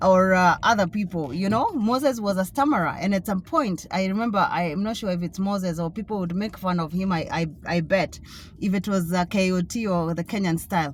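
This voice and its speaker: Her pace is fairly quick, with hardly any pauses. This woman has a medium pitch, ordinary pitch variation and a somewhat breathy voice. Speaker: author and vlogger. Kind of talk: casual vlog monologue. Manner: halting, many fillers.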